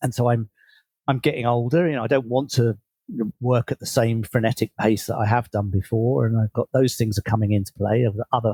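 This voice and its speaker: A man with a dark, mellow tone and medium pitch sounds somewhat breathy, with ordinary pitch variation and a dry, close sound with no echo. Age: 60s. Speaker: leadership coach and author. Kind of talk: interview.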